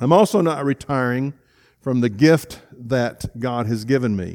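This man's voice sits at a medium pitch and moves at a fairly slow pace with ordinary pitch variation. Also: very clean recording, silent background. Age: 60s. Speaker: pastor. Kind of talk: sermon. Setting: church. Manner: halting.

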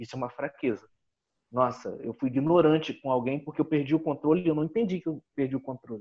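This man talks at a very fast pace. His fairly high voice shows ordinary pitch variation. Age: 30s. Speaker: business consultant and coach. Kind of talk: interview. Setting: video call.

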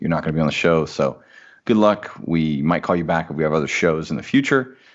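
This man has a very deep, low voice and a Midwestern American accent. He talks at a fairly quick pace with lively intonation. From US Midwest, small-town Indiana. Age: 30s. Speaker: entrepreneur and former minister. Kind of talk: casual interview chat.

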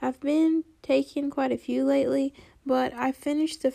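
A woman with high pitch and little pitch movement speaks in a dark, mellow, nasal tone with vocal fry.

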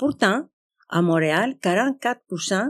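A woman speaks at a medium pitch with lively intonation. The sound is dry and close with no echo. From Greece. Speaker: community organization representative. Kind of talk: live panel discussion before audience. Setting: stage with audience. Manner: halting.

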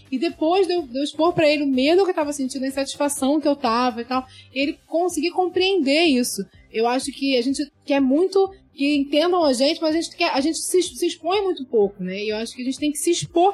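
The speech runs at a fairly quick pace with ordinary pitch variation over noticeable background noise. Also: woman, high pitch for a woman. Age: 30s. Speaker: medical student. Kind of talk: casual chat.

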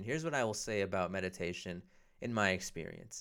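Bright and sharp in tone, a man speaks at a fairly quick pace with lively intonation. The recording is very clean, with a silent background. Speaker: podcast host, comedian. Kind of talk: solo monologue. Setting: home recording. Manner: halting.

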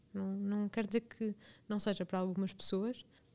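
A woman's voice, medium in pitch, comes across somewhat breathy. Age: 20s. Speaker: podcast host. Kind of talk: personal storytelling monologue. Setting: studio.

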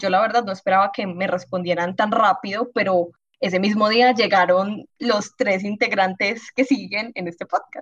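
This woman's voice sits at a medium pitch and sounds somewhat breathy, with fairly even intonation and a fairly slow pace. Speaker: biology student. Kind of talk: casual chat.

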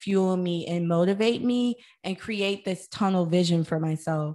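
In an American accent, a woman at medium pitch with ordinary pitch variation has a normal speaking voice, heard over a quiet background. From US Midwest, St. Louis, Missouri. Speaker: wellness entrepreneur and podcaster. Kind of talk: interview.

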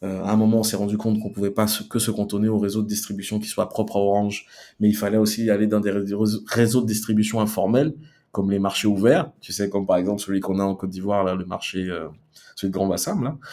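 In a very clean recording with a silent background, a man with a dark, mellow tone talks at a very fast pace with fairly even intonation. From Ivory Coast, Abidjan. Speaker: marketing director. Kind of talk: interview. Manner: halting.

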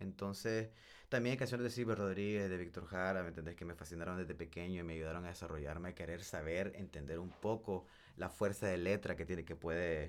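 The recording is very clean, with a silent background. A man with a very deep, low pitch talks at a fairly quick pace with ordinary pitch variation. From El Salvador, raised in Nicaragua. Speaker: singer and musician. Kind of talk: casual chat.

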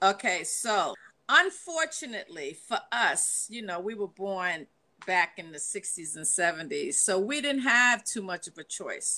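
A woman with a New York accent speaks at a fairly slow pace in a bright, sharp tone. Her pitch swings very widely, and her loudness shifts a lot. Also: medium pitch for a woman. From New York, the Bronx. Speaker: panelist. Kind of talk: casual chat. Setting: video call.

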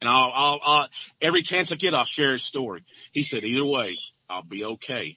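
A man with an Arkansas accent talks at a moderate pace. His voice is fairly high, with lively intonation. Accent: Southern US (Arkansas). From US South, northeast Arkansas. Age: 50s. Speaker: farmer. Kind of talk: testimony. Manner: halting.

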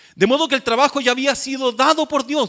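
This man's voice sits at an extremely high pitch. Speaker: pastor. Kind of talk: sermon. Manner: halting.

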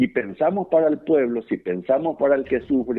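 A fairly high-pitched man talks at a moderate pace. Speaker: farmer. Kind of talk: phone interview. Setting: phone call. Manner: halting, many fillers and repetitions.

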